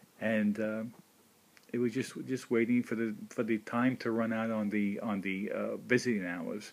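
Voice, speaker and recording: The man's intonation stays monotone and flat. His pace is moderate. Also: medium pitch for a man. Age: 60s. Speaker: video blogger. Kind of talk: personal monologue. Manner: halting.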